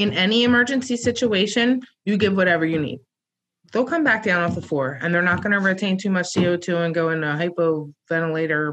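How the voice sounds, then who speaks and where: The pace is fairly quick, with ordinary pitch variation. This is a plain, everyday voice. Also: woman. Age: 30s. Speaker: respiratory care educator, co-host. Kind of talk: casual instructional chat.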